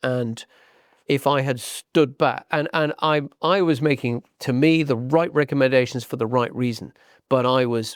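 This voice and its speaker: Speaking at a moderate pace with a southern English accent, a man of medium pitch shows ordinary pitch variation in a dry, close sound with no echo. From southern England, Hampshire. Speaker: property agent. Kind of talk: podcast interview. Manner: repeats words, hesitant starts.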